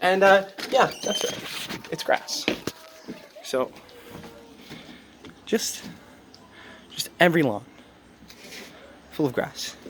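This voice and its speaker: The speech comes at a very slow pace with long, frequent pauses and noticeable background noise. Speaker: comedy vlogger. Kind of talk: casual vlog monologue.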